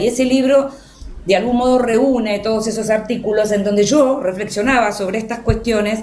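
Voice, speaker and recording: Moderate pacing amid noticeable background noise and audible room echo. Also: woman. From Argentina. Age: 60s. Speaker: journalist and writer. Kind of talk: radio interview.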